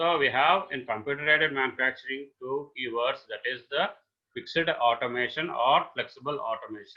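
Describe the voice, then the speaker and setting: This man has a fairly high-pitched voice with ordinary pitch variation and a moderate pace. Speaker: engineering lecturer. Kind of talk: lecture. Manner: halting, many fillers.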